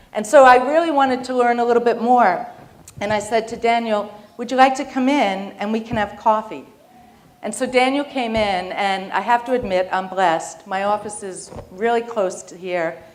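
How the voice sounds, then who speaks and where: A woman's fairly high voice in a New York accent, with ordinary pitch variation, a moderate pace and big swings in loudness. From New York, Long Island. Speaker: business executive. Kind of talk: keynote speech.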